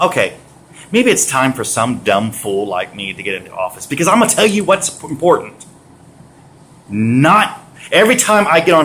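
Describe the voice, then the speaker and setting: Loud and animated, this voice with an American accent moves through very wide pitch swings. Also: man. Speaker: vlogger. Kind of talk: rant.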